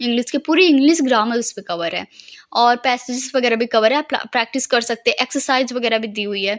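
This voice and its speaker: This woman's voice is pitched high. The pitch shifts in an ordinary way. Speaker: study vlogger, exam aspirant. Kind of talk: study vlog. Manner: casual.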